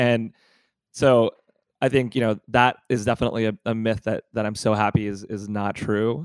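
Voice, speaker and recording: With an American accent, a normal speaking voice moves at a moderate pace with fairly even intonation in a dry, close sound with no echo. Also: man, medium pitch for a man. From Pittsburgh, US. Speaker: MBA student, student government co-president. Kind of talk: casual interview chat.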